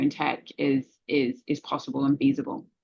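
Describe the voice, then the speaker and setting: In a London accent, the speaker delivers every line with monotone, flat intonation. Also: woman. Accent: British (London). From England, London. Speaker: cybersecurity executive. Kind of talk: interview.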